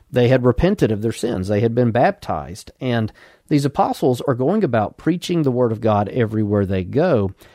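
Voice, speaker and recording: Recorded with a dry, close sound, no echo and a quiet background, a man with an Alabama accent and a dark, mellow tone speaks at a moderate pace, his medium pitch carried by lively intonation. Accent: Southern US (Alabama). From Alabama, US South. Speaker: pastor. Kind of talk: sermon, radio broadcast. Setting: radio broadcast. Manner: formal, measured.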